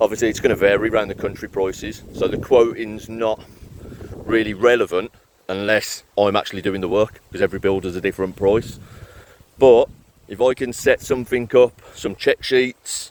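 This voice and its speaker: With a Birmingham accent, a man speaks at a fairly low pitch and moderate pace, his intonation fairly even and the sound dry and close with no echo. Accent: Birmingham (Brummie). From Birmingham, England. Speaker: property renovation business owner. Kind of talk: casual vlog. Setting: outdoors in a park. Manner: monotone.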